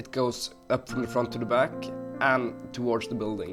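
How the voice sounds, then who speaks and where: Music plays behind a man speaking at a medium pitch. He sounds enthusiastic. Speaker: Minecraft builder and tutorial maker. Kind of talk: tutorial narration. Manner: casual, enthusiastic.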